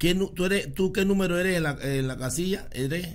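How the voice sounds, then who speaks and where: This man has an ordinary speaking voice. He talks at a fairly quick pace with lively intonation. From Panama. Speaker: podcast host. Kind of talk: interview. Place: studio. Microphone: studio mic.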